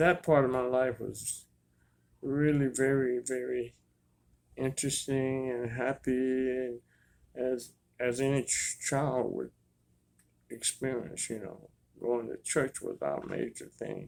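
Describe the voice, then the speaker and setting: A man speaks at a very slow pace with long, frequent pauses. His medium-pitched voice stays monotone and flat. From US South, Mississippi near Jackson. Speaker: jazz trombonist and artist. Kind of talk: interview, life story. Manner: halting with repetitions.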